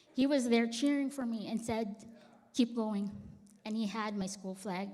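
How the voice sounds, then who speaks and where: A woman's fairly high, somewhat breathy voice with a Filipino accent and fairly even intonation, plus audible room echo. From Philippines. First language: Tagalog. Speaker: church member. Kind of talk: testimony. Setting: church.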